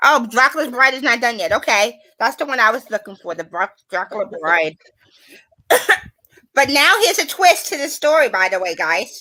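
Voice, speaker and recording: Loud and high, a woman's voice has a bright, sharp tone and very wide pitch swings. She speaks at a moderate pace with long, frequent pauses. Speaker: live stream host. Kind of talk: casual chat.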